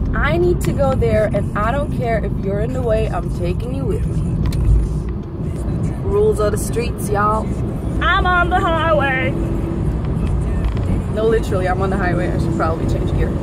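With music in the background and a dry sound with no echo, a woman speaks at a moderate pace with long, frequent pauses. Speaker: vlogger driving. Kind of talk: casual vlog chat. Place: car. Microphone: phone near.

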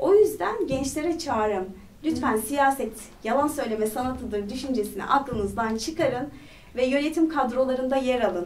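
Her high-pitched voice moves with lively intonation as the woman talks. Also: moderate pace. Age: 30s. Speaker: parliamentary candidate; candidate. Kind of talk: interview. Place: studio.

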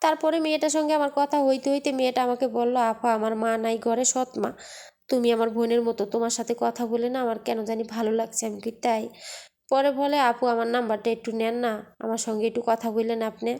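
On a very clean recording with a silent background, a woman with a fairly high voice speaks in a dark, mellow tone with fairly even intonation. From Bangladesh. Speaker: migrant domestic worker vlogger. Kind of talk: vlog monologue, storytelling. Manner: conversational, colloquial.

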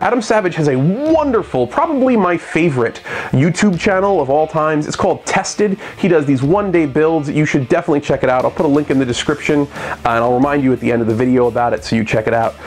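Someone talks at a very fast pace with hardly any pauses as faint music plays in the background. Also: man. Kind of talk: tutorial. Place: workshop.

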